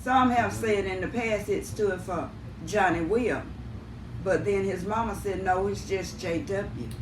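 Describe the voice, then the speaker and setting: Audible room echo surrounds a woman with a Southern US accent who speaks at a fairly slow pace, a medium pitch and with ordinary pitch variation. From US South, Houston County. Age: 70s. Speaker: family member interviewee. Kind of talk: family interview.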